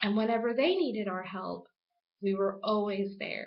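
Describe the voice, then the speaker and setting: A woman speaks at a fairly high pitch. She has a Spanish accent. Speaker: student. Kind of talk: class speech.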